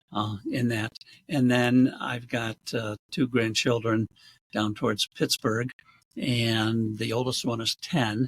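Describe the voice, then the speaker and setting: A man with an American accent and a medium pitch speaks at a very slow pace in a somewhat breathy voice, on a very clean recording with a silent background and a dry, close sound with no echo. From Rochester, New York area, US. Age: 70s. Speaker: realtor and community alumni organizer. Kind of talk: interview conversation.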